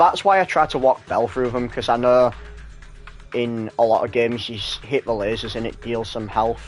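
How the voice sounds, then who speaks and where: Music plays in the background as a man speaks at a medium pitch and a moderate pace. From Hull, northern England.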